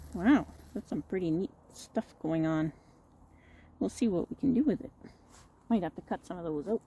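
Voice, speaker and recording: A woman of medium pitch speaks in a dark, mellow, somewhat breathy tone with very wide pitch swings. Her long, frequent pauses come through in a dry, close sound with no echo. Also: moderate pace. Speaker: bonsai hobbyist vlogger. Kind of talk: casual tutorial.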